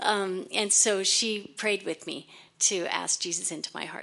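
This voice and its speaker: In an American accent, a woman speaks at a medium pitch and moderate pace, with vocal fry and ordinary pitch variation. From California. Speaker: church member. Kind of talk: personal tribute.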